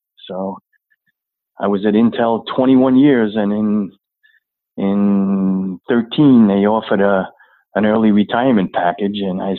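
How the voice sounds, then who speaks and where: A man speaks in an unremarkable speaking voice with an American accent. His pitch is fairly low and his intonation fairly even. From New York (Long Island). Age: 60s. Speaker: army veteran. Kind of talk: interview. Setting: phone call.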